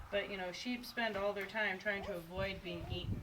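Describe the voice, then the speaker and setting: Lively intonation in an American accent comes at a very fast pace, with noticeable background noise and audible room echo. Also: woman. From Indiana, US Midwest. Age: 50s. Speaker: sheep shearer. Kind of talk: demonstration tutorial. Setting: on a farm.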